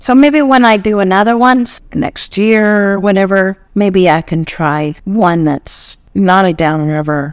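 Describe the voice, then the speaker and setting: In an ordinary speaking voice at medium pitch, a woman talks at a fairly slow pace with lively intonation and hardly any pauses. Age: 40s. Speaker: podcast co-host. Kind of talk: casual chat.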